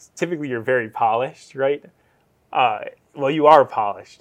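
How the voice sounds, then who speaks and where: At a fairly quick pace, a man with an American accent speaks in a medium pitch with ordinary pitch variation. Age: 20s. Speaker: real estate agent, podcast host. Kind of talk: casual chat.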